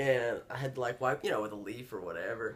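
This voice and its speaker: Talking at a fairly quick pace, a man speaks in a Georgia accent. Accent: Southern American (Georgia). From northeast Georgia, USA. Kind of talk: interview answer. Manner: casual, relaxed.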